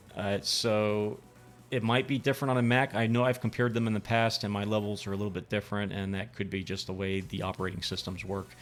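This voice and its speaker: A man at a very fast pace with a fairly low pitch and fairly even intonation, music in the background. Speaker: VJ software tutorial streamer. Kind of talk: live-streamed tutorial. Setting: live stream. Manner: halting, many fillers.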